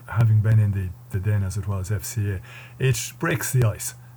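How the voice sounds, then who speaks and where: In an Irish Midlands accent, a man speaks at a moderate pace with a fairly low, somewhat breathy voice of dark, mellow tone and ordinary pitch variation. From Ireland, County Westmeath. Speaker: security and defence analyst, former soldier. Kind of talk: interview.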